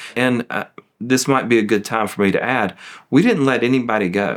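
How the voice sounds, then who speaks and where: A man talks with a Southern US accent and ordinary pitch variation. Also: very clean recording, silent background. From US South. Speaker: law firm managing partner. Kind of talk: testimonial interview.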